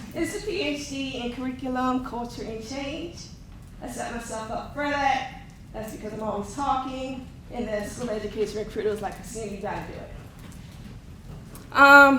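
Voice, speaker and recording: A woman with a shaky, high-pitched voice speaks at a moderate pace with ordinary pitch variation, alongside noticeable background noise and audible room echo. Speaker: academic advisor and instructor. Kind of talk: conference presentation.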